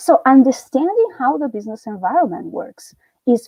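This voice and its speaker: A woman's dark, mellow tone in an Italian accent, with lively intonation and a dry, close sound with no echo. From Italy. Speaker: university lecturer. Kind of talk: lecture. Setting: live stream.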